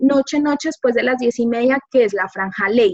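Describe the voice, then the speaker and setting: A high-pitched woman's voice comes through in a dry, close sound with no echo. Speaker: media professional. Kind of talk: informal talk to a class. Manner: soft-spoken.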